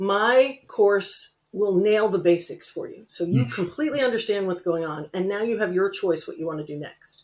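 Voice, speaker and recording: A woman with an American accent speaks at a moderate pace with lively intonation, hardly any pauses and big swings in loudness. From Connecticut, US. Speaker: real estate note investor; guest. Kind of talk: casual interview. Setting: video call. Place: home room. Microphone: webcam.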